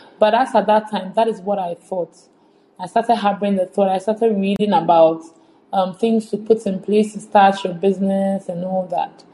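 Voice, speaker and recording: A woman's medium-pitched, somewhat breathy voice in a monotone, flat intonation. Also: moderate pace. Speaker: finance entrepreneur. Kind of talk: casual interview.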